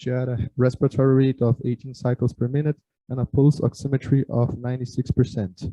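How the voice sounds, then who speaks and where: A man with a medium pitch keeps up a fairly quick pace. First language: Portuguese. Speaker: surgery resident. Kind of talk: medical case presentation. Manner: halting, frequent filler sounds.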